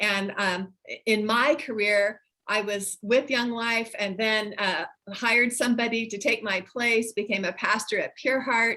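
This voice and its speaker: Her voice sits fairly high and has a bright, sharp edge. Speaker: nonprofit founder and former pastor. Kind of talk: presentation in online meeting.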